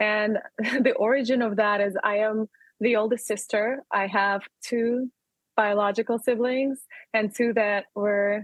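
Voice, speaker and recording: A woman's fairly high voice in a strong Russian accent, flat and monotone in intonation. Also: fairly slow pace. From Russia, Urals region. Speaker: entrepreneur. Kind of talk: interview.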